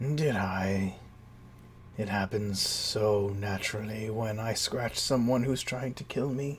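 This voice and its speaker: Medium pitch, a fairly slow pace and a put-on character voice from a man, with clear background noise. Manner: languid, sly.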